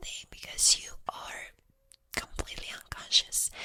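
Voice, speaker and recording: Whispering in a relaxed tone, a man speaks at a fairly slow pace over noticeable background noise. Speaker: ASMR creator. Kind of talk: ASMR ramble, whispered story time. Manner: soft, relaxed, rambling with hesitations.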